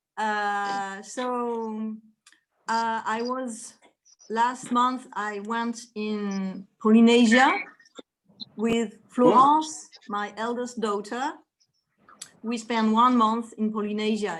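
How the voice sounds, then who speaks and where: With a French accent, a woman speaks very slowly at a fairly high pitch. Her intonation is fairly even, broken by long, frequent pauses. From France. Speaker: relative. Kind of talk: casual chat. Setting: video call. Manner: halting.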